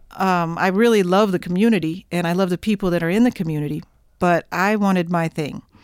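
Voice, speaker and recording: A woman with an American accent talks very fast at a fairly low pitch, her intonation fairly even and the sound dry and close with no echo. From Oklahoma, near Oklahoma City. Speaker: jazz saxophonist. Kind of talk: interview.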